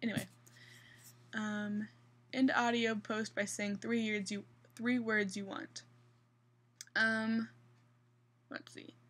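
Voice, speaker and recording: With a slight Midwestern accent, the speaker goes at a very slow pace, monotone and flat, leaving long, frequent pauses. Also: woman, fairly high pitch for a woman. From US Midwest, central Kansas. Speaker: vlogger. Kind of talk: casual vlog. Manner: hesitant.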